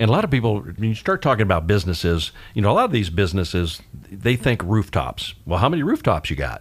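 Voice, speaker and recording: The speaker talks at a very fast pace with vocal fry, very wide pitch swings and hardly any pauses. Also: man, fairly low pitch for a man. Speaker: radio host. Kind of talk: radio interview. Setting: radio studio. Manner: fast talker.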